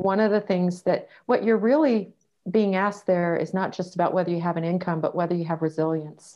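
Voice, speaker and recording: A woman with an unremarkable speaking voice at a medium pitch, fairly quick pace and ordinary pitch variation. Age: 50s. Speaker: dating coach and author. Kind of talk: interview.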